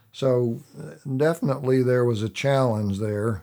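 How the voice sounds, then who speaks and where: A man with an American accent speaks at a fairly slow pace in a dark, mellow tone. His intonation stays fairly even. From US Midwest, Illinois. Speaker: retired biology professor. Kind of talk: interview. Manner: halting, many fillers.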